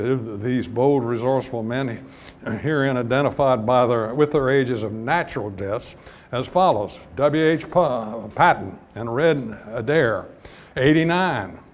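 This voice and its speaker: Audible room echo surrounds a man speaking at a moderate pace. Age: 80s+. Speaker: retired petroleum geologist. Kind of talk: lecture. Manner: halting.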